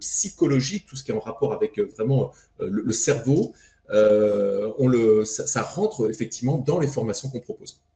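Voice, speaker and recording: At a moderate pace, a man talks in a dark, mellow tone that is somewhat breathy. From France. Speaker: fitness coach trainer. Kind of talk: podcast interview.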